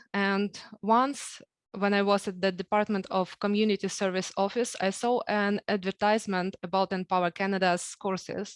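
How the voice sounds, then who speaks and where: In a Ukrainian accent, a woman speaks at a moderate pace with a medium pitch and monotone, flat intonation. The sound is dry and close with no echo, against a quiet background. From Ukraine. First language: Ukrainian or Russian. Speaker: program graduate. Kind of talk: speech.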